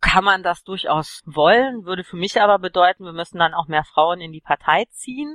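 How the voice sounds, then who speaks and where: A woman with an unremarkable speaking voice at a medium pitch talks at a moderate pace with lively intonation, big swings in loudness and hardly any pauses. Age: 30s. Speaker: political party candidate. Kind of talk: interview.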